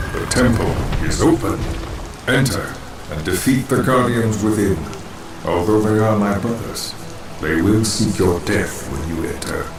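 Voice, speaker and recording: Using a put-on character voice, a man speaks at a fairly low pitch and moderate pace amid loud background noise and slight echo. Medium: machinima. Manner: solemn, formal.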